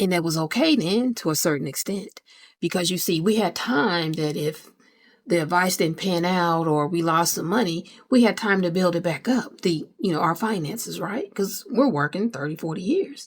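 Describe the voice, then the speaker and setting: A woman's fairly low-pitched voice, an unremarkable speaking voice, with ordinary pitch variation and a moderate pace, in a very clean recording with a silent background. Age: 50s. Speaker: personal finance vlogger. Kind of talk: casual talk to camera. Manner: casual, conversational.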